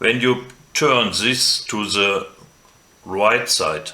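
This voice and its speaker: A man with a non-native accent speaks very slowly in a fairly low voice. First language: German. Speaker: drone hobbyist. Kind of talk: tutorial talk to camera.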